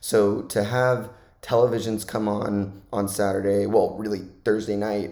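There is audible room echo as a man with a fairly low pitch and dark, mellow tone speaks fairly slowly in a flat monotone. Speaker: college football podcaster. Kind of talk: solo podcast monologue. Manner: casual, conversational.

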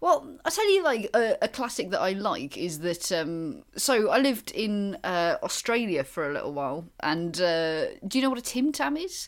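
A woman with a Welsh accent talks at a moderate pace with hardly any pauses. Her fairly high voice swings very widely in pitch. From Wales. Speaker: comedian and gig promoter. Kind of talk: casual chat.

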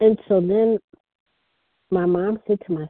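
The speaker is a woman. Her voice sits at a medium pitch. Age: 60s. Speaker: recovery program member sharing her story, sponsor. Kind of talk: testimony. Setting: phone meeting. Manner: soft-spoken.

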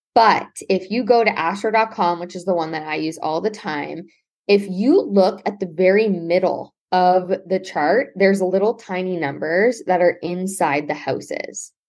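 A normal speaking voice from a woman in a Canadian accent, medium pitch, ordinary pitch variation and a moderate pace, over a quiet background. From Ontario, Canada (Brantford). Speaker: astrologer. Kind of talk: casual interview.

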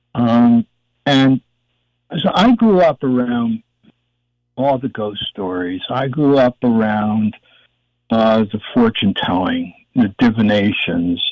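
A man with a medium-pitched voice talks at a very slow pace, leaving long, frequent pauses, with ordinary pitch variation. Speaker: producer and meditation teacher. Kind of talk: interview conversation.

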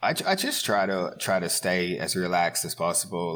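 This man's very deep, low pitch comes with an Australian accent. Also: very clean recording, silent background. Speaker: professional grappler. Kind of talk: casual interview chat.

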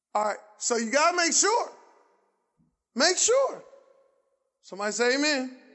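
A man talks at a moderate pace with long, frequent pauses and an extremely high pitch that swings very widely. Audible room echo surrounds his voice. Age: 50s. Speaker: pastor. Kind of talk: sermon; fervent call-and-response preaching, hammering rhetorical questions at the congregation. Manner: conversational and colloquial, prompting audience replies; rising, insistent cadence with repeated phrases building intensity.

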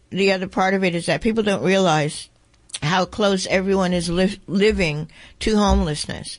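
Against a quiet background, a woman with a normal speaking voice talks at a moderate pace, medium in pitch, with fairly even intonation and very even loudness. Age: 60s. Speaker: radio host. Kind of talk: radio interview.

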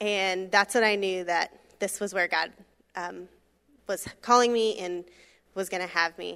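A woman with an American accent speaks at a fairly slow pace, leaving long, frequent pauses. Her tone is bright and sharp, her intonation fairly even, and the recording very clean with a silent background. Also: medium pitch for a woman. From Florida, Brevard County. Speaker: missionary. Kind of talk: testimony.

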